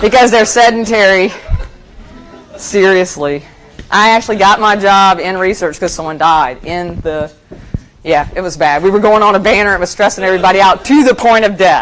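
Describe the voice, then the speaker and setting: Over noticeable background noise, a woman talks at a medium pitch and moderate pace with ordinary pitch variation. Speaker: institutional research presenter. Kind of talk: conference presentation. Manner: loud; casual, conversational.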